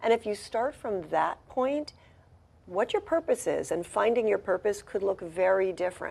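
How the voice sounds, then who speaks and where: A woman with a normal speaking voice talks at a moderate pace and fairly high pitch with lively intonation, on a very clean recording with a silent background. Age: 60s. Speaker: ballroom dancer and spiritual director. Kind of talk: TV interview. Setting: TV studio.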